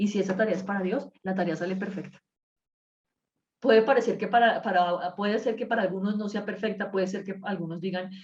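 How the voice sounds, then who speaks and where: A woman speaks at a medium pitch and a fairly quick pace. Her voice is somewhat breathy. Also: fairly even intonation. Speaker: Bible study teacher. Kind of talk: Bible study class. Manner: fast; uses filler words.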